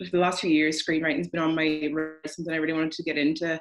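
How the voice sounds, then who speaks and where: In a Donegal Irish accent, a woman speaks with a very deep, low pitch. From Ireland, County Donegal. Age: 20s. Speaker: screenwriter. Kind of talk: casual interview.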